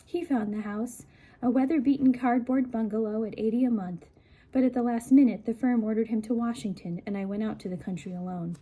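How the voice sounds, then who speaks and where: A woman speaks at a fairly quick pace in a fairly high, somewhat breathy voice. Her tone is dark and mellow, with ordinary pitch variation. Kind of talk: book reading, soft-spoken ASMR. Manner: soft-spoken, conversational, relaxing.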